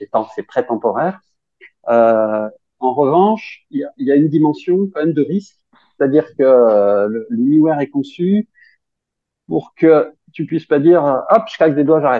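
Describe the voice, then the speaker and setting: A man talks at a fairly slow pace and a fairly high pitch. His intonation is lively, with long, frequent pauses. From France, Grenoble. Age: 50s. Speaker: science fiction author. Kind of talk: casual interview.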